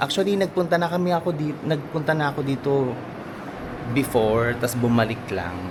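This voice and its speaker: Lively intonation from a man, set against noticeable background noise. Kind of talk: casual vlog. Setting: hotel room. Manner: deliberately quiet; animated.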